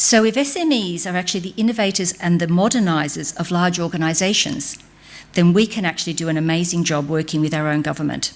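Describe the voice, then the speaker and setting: At a very fast pace, a woman speaks with an Australian accent. Her pitch is fairly low, with ordinary variation. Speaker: business speaker on a government advisory panel. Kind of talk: conference speech. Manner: animated.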